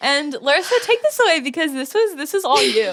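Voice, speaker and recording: A woman talks in a Valley Girl accent with very wide pitch swings. The recording is very clean, with a silent background. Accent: Valley Girl accent, by her own account. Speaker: podcast co-host. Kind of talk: casual chat.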